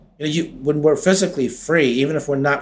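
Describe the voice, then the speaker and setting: A somewhat breathy man with an American accent, at a fairly high pitch with ordinary pitch variation. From New York (Westchester County, Peekskill). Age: 40s. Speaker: exoneree, wrongful conviction advocate. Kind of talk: interview life story.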